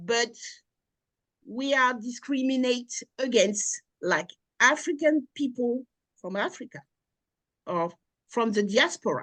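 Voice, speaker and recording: With a strong French accent, a woman speaks in a high voice with lively intonation at a very slow pace, leaving long, frequent pauses, in a dry, close sound with no echo. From France, Normandy. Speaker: researcher and lecturer. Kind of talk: interview.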